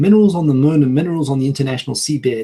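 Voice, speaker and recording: Talking at a very fast pace, a man with a fairly high pitch has a dark, mellow, somewhat breathy tone. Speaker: video blogger. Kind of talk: casual podcast discussion. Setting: online video call.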